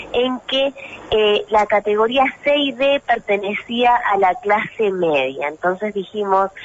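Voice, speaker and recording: Noticeable background noise sits behind a woman talking at a fairly high pitch. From Mendoza, Argentina. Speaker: representative of a monotributistas association. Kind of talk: radio interview answer.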